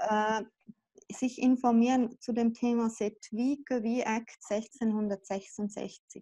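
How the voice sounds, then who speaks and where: Against a quiet background, a woman with a dark, mellow tone and a fairly high pitch speaks very slowly with fairly even intonation. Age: 40s. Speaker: mother affected by child removal; interviewee. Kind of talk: interview. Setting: video call. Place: home room. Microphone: video call.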